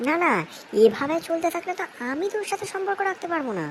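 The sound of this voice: A woman does a squeaky, cartoonish character voice at an extremely high pitch, with lively intonation and a moderate pace.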